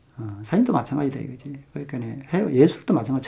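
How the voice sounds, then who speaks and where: A man's medium-pitched voice carries vocal fry and a dark, mellow tone. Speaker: photography youtuber. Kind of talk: casual monologue on photography. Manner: fast; hesitant, many fillers.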